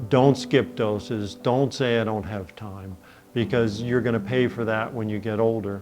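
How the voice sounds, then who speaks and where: Music plays in the background as a man speaks at a moderate pace. His pitch is medium and his intonation fairly even. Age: 60s. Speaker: hemophilia patient sharing his story. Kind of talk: testimony. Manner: halting, many fillers.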